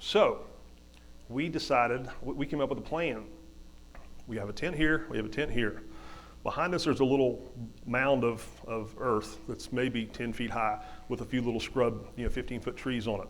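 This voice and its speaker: A man with an Appalachian accent and vocal fry talks at a moderate pace with ordinary pitch variation and long, frequent pauses, and audible room echo surrounds him. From West Virginia. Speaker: hunter and motivational speaker. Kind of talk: storytelling talk. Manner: halting, many repetitions.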